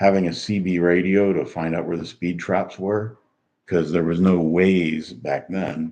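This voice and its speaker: A man's very deep, low voice at a moderate pace, relaxed in tone, with fairly even intonation. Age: 60s. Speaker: retiree. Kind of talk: casual livestream talk to camera. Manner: relaxed, rambling, many fillers.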